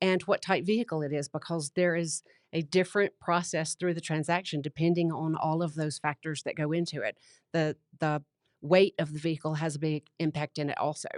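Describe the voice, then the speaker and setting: With a Southern US accent, the speaker moves at a fairly quick pace in a monotone, flat intonation, heard dry and close with no echo over a quiet background. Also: woman, very deep, low pitch for a woman. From US South. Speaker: county clerk and recorder. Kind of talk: casual interview.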